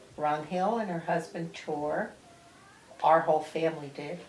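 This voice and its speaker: In an American accent, a woman speaks at a fairly low pitch and a fairly slow pace. Room echo is audible and background noise is noticeable. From New Jersey. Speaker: grandmother interviewed by grandson. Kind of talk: family interview. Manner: casual, halting.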